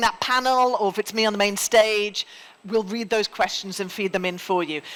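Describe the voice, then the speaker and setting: A woman speaks in a Geordie accent at a moderate pace. Her pitch is fairly high, with ordinary variation. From northern England (Newcastle, Geordie). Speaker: event host, former journalist. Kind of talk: conference MC address. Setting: main stage with live audience. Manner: informal, relaxed.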